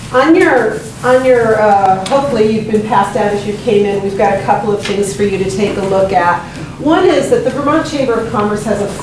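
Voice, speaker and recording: Noticeable background noise and audible room echo surround the voice. A woman speaks at a fairly quick pace. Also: ordinary pitch variation. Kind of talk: public talk to audience. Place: meeting room. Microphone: camera far.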